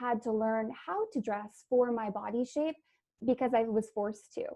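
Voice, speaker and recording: Speaking with a Canadian accent, a woman uses a high pitch and fairly even intonation. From Canada, Vancouver. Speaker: beauty and style consultant. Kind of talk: interview.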